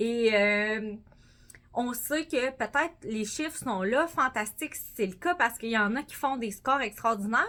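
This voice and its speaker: A woman in a Quebec accent, fairly high-pitched, with a bright, sharp, animated tone, ordinary pitch variation and a fairly slow pace. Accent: Québécois French. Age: 30s. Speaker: sales director. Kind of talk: motivational speech.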